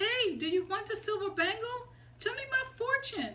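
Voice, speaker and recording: A squeaky, put-on character voice rises and falls with lively intonation. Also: woman, extremely high pitch for a woman, moderate pace. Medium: read story.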